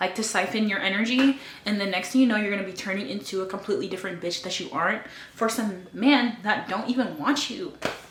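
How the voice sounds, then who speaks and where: At a very fast pace, a woman speaks in an animated tone with medium pitch and ordinary pitch variation. Audible room echo and noticeable background noise fill the recording. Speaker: lifestyle vlogger giving dating advice. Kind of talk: casual monologue to camera. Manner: loud.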